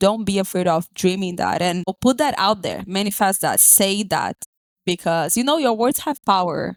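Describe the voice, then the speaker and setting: A woman with a Brazilian accent speaks at a moderate pace with lively intonation and an animated tone, the sound dry and close with no echo. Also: medium pitch for a woman, very clean recording, silent background. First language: Portuguese. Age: 20s. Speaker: podcast guest. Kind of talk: casual interview chat.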